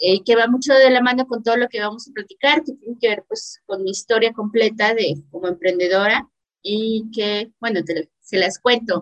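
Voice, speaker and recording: A woman with a normal speaking voice, fairly high in pitch with ordinary pitch variation, at a moderate pace with hardly any pauses, in a dry, close sound with no echo. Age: 30s. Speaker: entrepreneur and academic. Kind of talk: casual interview.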